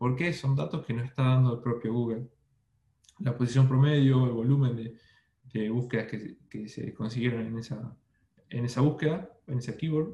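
A man's somewhat breathy, dark, mellow voice at medium pitch, moderate pace and ordinary pitch variation. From Argentina, Buenos Aires. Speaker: SEO specialist. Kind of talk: interview. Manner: halting with repetitions.

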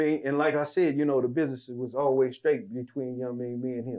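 A man speaks very fast at a medium pitch. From Las Vegas. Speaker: podcast co-host. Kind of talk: casual chat. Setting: rented facility.

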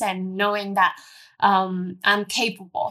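On a very clean recording with a silent background, a woman with a Cantonese accent speaks at a fairly slow pace in a bright, sharp tone. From Hong Kong. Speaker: airline pilot. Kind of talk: interview. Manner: halting.

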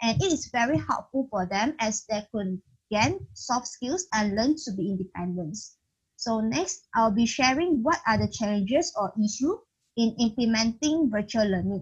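A woman talks at a moderate pace with lively intonation. Her fairly high voice is somewhat breathy. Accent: Malaysian. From Malaysia. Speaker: podcast host. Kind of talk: moderated interview. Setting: video call.

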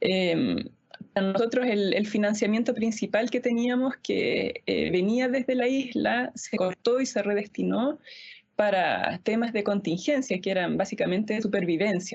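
Speaking slowly-ish at a fairly high pitch, a woman keeps her loudness very even, with vocal fry and ordinary pitch variation. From Easter Island (Rapa Nui), Chile. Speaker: pianist and music school director. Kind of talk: panel discussion.

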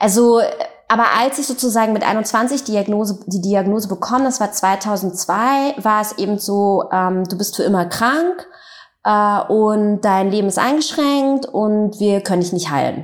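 Speaking at a fairly slow pace, a woman uses a medium pitch with ordinary variation. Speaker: author and journalist. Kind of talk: interview, personal storytelling. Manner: hesitant, many fillers.

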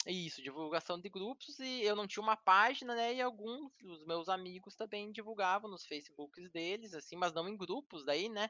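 A high-pitched man talks at a moderate pace with hardly any pauses, ordinary pitch variation and big swings in loudness. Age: oldest of the group. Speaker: IT supervisor and gamer. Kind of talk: casual chat.

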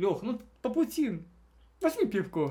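A man speaks in an animated tone. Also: very clean recording, silent background. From Russia, Belgorod region (Shebekino). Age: 20s. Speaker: programmer. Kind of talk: casual chat.

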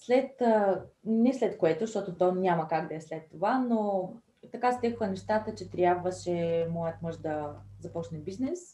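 Somewhat breathy, with a dark, mellow tone, a woman speaks at a medium pitch and a fairly slow pace with lively intonation. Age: 30s. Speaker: entrepreneur and mother. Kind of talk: interview.

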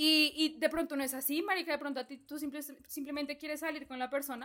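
Music plays in the background as a woman speaks at a fairly quick pace. Her high-pitched voice is raised and projected. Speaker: podcast co-host, university student. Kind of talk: casual chat.

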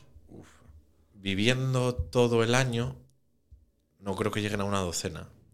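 In an ordinary speaking voice, a man with a fairly low pitch and ordinary pitch variation talks at a fairly slow pace with big swings in loudness. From Asturias, Oviedo. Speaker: third-generation drinks distributor. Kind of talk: casual chat.

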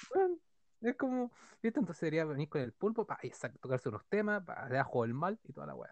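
Very fast and high-pitched, a man talks with very wide pitch swings and long, frequent pauses. The sound is dry and close, with no echo. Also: big swings in loudness. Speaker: podcast co-host. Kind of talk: casual chat.

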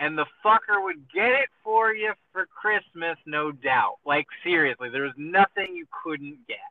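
A man with a high voice talks at a fairly slow pace with lively intonation and hardly any pauses. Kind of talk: casual chat. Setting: phone call. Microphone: car Bluetooth phone audio, poor quality.

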